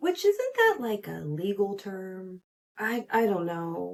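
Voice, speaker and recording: At a fairly slow pace, a woman talks in a plain, everyday voice. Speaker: podcast host. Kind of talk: casual pop culture commentary. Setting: small home recording room.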